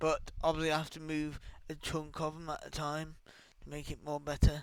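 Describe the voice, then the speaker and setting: A quiet, strained male voice, fairly high-pitched and flat in intonation, at a moderate pace with big swings in loudness. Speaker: gaming YouTuber and streamer. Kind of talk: casual commentary on game patch notes; reading patch notes aloud. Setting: home, early morning recording. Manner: quiet, restrained; distracted, off-the-cuff.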